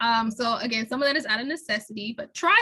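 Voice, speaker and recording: Her voice high in pitch and bright and sharp in tone, a woman speaks with ordinary pitch variation. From Chicago, US Midwest. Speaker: scientist and copywriter, seminar speaker. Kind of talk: Q&A answer at seminar. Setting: university seminar. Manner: casual, conversational.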